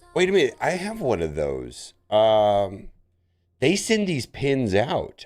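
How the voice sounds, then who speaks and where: A man at a fairly slow pace, with very wide pitch swings, over background music. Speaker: gaming streamer. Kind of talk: tutorial; casual chat.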